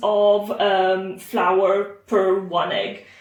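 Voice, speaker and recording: A woman speaks with an Italian accent. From Italy. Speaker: home cook. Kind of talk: cooking tutorial. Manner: casual with frequent fillers.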